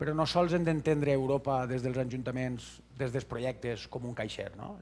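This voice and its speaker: A fairly quick pace with ordinary pitch variation, in a Valencian accent. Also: man. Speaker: conference speaker. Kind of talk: conference talk. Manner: halting.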